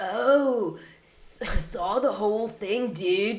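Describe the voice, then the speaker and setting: The speaker uses a put-on character voice and talks at a very slow pace. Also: female-sounding voice, fairly high pitch for a woman. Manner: dazed, drawn-out, impersonated.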